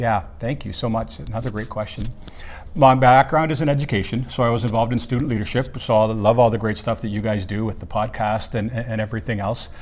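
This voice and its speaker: In a Canadian accent, a man talks at a very fast pace and medium pitch with ordinary pitch variation and audible room echo. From Ontario, Canada. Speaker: keynote speaker, former teacher. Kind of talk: interview. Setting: at a student leadership conference.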